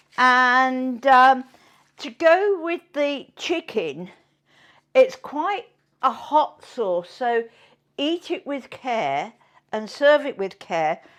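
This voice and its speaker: In a very clean recording with a silent background, a woman speaks at a very slow pace with long, frequent pauses, her high pitch swinging very widely and her loudness varying greatly. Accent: British. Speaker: cooking show host. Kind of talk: live cooking show. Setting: home kitchen. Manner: chatty, halting.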